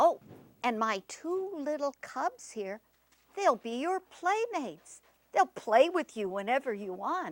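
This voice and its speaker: A woman puts on a character voice pitched high, with very wide pitch swings. She goes at a fairly slow pace. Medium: read story. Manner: motherly, coaxing.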